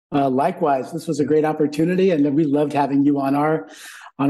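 Fairly high in pitch yet dark and mellow in tone, a man with a General American accent talks at a fairly quick pace with fairly even intonation. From US West Coast, San Francisco Bay Area. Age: 60s. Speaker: business consultant, former gymnastics coach. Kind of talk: interview conversation.

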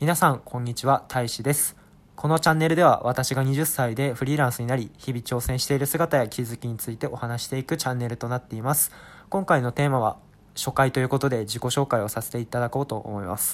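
A man at a medium pitch and a very fast pace, ordinary pitch variation, very clean recording with a silent background. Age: 20s. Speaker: freelancer podcaster. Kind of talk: casual monologue self-introduction. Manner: hesitant with frequent fillers.

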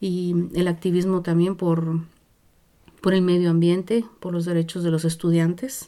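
With a Guatemalan accent, a woman speaks at a fairly slow pace in a fairly low pitch. Her tone is dark and mellow, and her intonation is monotone and flat. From Guatemala, Zacapa region. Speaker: activist musician and family counsellor. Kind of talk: interview, personal life story. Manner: halting, many fillers and restarts.

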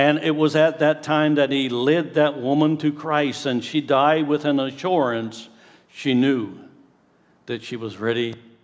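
A man with an ordinary speaking voice talks at a fairly slow pace, keeping his intonation fairly even. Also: fairly high pitch for a man. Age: 60s. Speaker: pastor. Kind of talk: sermon. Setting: church.

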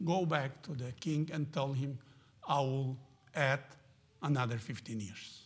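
Somewhat breathy, a man talks at a fairly slow pace in a Spanish accent. His pitch sits fairly high. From Argentina. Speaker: missionary. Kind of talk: sermon. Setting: church. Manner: halting.

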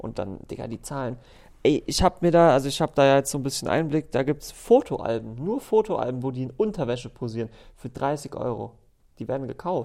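A man with an ordinary speaking voice talks at a moderate pace and a fairly high pitch. His intonation is lively, and the recording is very clean with a silent background. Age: 20s. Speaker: recurring podcast guest. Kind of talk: casual chat. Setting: office studio.

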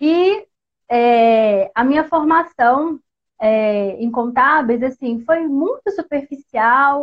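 A woman with a Minas Gerais accent speaks at a high pitch with ordinary pitch variation. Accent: Brazilian Portuguese, mineiro. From Minas Gerais, Brazil. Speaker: accountant. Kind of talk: live-stream tutorial. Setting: social media live stream. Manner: casual, chatty.

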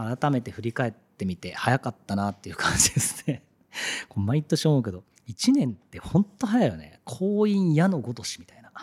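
A somewhat breathy man speaks at a moderate pace and medium pitch, with very wide pitch swings and big swings in loudness. The sound is dry and close with no echo. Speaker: radio host and art director. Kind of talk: casual radio monologue.

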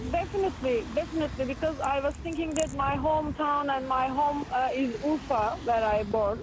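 Amid noticeable background noise and audible room echo, a woman speaks at a moderate pace and high pitch with ordinary pitch variation, very even loudness and hardly any pauses. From Ufa, Russia (Bashkortostan). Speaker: performance participant. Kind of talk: casual conversation while walking.

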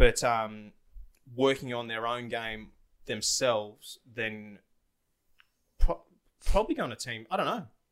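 In a bright, sharp tone, a man speaks at a medium pitch. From Australia. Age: 20s. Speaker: former footballer, real estate agent. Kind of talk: casual chat. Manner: nervous at first.

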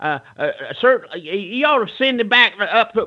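With an American accent, the speaker keeps a moderate pace and lively intonation. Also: man. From North Carolina. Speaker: retired pro wrestler. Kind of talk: storytelling interview. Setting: phone call. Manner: theatrical.

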